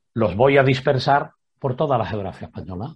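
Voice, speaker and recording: A man with a medium pitch talks in a somewhat breathy voice with ordinary pitch variation. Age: 60s. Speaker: retired prison director and author. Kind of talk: interview.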